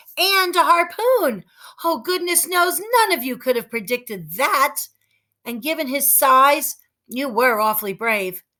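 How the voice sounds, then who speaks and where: A woman puts on a character voice, pitched high and swinging very widely, at a fairly slow pace. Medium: read story. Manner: warm, affectionate.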